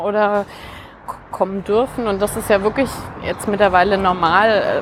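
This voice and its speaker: A woman's voice over noticeable background noise. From Franconia, near Nuremberg, Germany. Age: 40s. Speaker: author. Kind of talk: casual conversation. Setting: outdoors, walking through Berlin park. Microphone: occasional echo.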